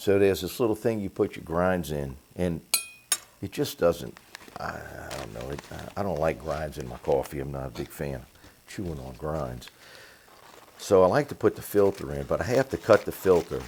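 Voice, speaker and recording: A soft-spoken man talks with a very deep, low pitch, lively intonation and a moderate pace. His loudness swings widely, long pauses come often, and background noise is noticeable. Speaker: home cooking channel host. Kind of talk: casual kitchen tutorial. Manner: soft-spoken, talking low.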